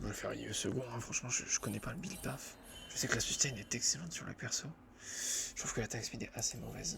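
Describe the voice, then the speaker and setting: A man talks at a very fast pace. Background noise is noticeable. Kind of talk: ASMR gameplay commentary while playing a video game. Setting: recorded while gaming at a computer with a headset. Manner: soft-spoken.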